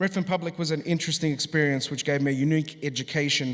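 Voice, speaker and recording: A man with an Australian accent, a fairly high pitch, fairly even intonation and a very fast pace. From Australia, Sydney. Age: 40s. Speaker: musician. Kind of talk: graduation address.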